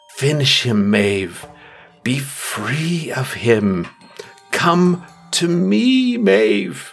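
Faint music plays in the background as a man puts on a character voice at medium pitch and a very slow pace. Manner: commanding, tempting.

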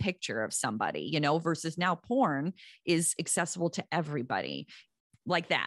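A woman with a plain, everyday voice speaks at a moderate pace, fairly low in pitch with lively intonation. The sound is dry and close with no echo, over a quiet background. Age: 50s. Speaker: parenting author and social worker. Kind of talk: interview.

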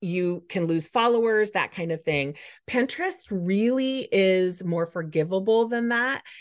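A normal speaking voice with lively intonation, at a fairly slow pace against a quiet background. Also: woman, medium pitch for a woman. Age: 50s. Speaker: Pinterest marketing coach. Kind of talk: interview conversation.

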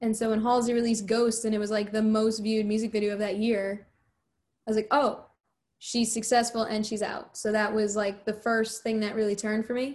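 A woman's fairly high voice with monotone, flat intonation at a moderate pace. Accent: American. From US Northeast, New Jersey. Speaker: musician. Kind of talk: interview. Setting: video call.

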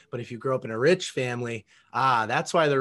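A man talks at a moderate pace in an unremarkable speaking voice. His pitch variation is ordinary, and the background is quiet. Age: 20s. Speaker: entrepreneur and podcast host. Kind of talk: interview.

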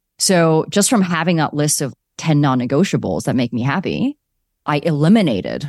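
A woman speaks with a Canadian accent. The recording is very clean, with a silent background and a dry, close sound with no echo. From Canada (Calgary). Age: 40s. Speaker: startup founder and CEO. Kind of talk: interview.

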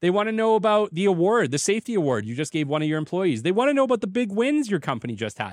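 Speaking very fast with hardly any pauses, a man with a Canadian accent uses a high pitch and very wide pitch swings in a very clean recording with a silent background. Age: 30s. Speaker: podcast host, business development consultant. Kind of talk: solo podcast monologue. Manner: casual, conversational.

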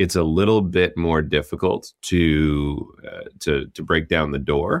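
A man with a very deep, low pitch speaks at a very slow pace and with fairly even intonation. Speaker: company co-founder and chief executive. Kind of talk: casual interview chat.

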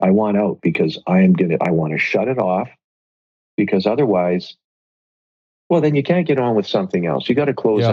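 A man talks at a fairly quick pace, his loudness very even throughout. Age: 50s. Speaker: entrepreneur. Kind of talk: casual chat.

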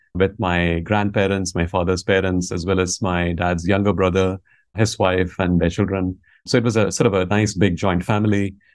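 A man's very deep, low voice in a Tamil accent, monotone and flat, at a moderate pace over a quiet background. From India, Tamil Nadu. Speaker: business school professor. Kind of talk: interview conversation.

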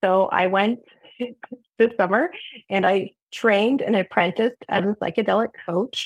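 At a medium pitch and a moderate pace, a woman speaks with very even loudness and ordinary pitch variation, taking long, frequent pauses in a dry, close sound with no echo. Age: 40s. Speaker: program alumna and psychedelic coach. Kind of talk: testimony. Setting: video call.

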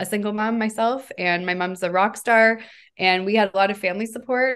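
A woman with a Canadian accent and an unremarkable speaking voice, fairly even intonation, moderate pace, quiet background. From Canada, Hamilton, Ontario. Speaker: company founder and CEO. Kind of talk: interview.

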